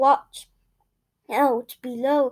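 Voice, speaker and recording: A woman does a put-on character voice at a high pitch. The delivery is monotone and flat. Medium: read story. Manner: cheeky, boastful.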